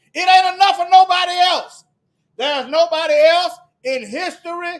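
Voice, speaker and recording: A man talks loudly at an extremely high pitch. He keeps a moderate pace with ordinary pitch variation. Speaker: religious commentator. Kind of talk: religious monologue with scripture reading.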